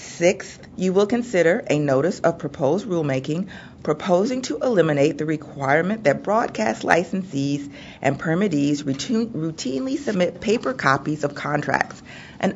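Against light background noise, a woman with an ordinary speaking voice talks at a moderate pace and a fairly low pitch. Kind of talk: formal agenda reading. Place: hall. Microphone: podium.

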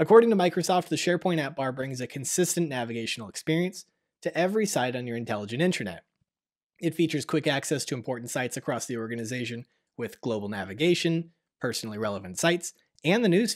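A man talks at a very fast pace with very wide pitch swings. The background is quiet. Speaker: tech news show host. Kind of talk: news presentation. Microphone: studio mic.

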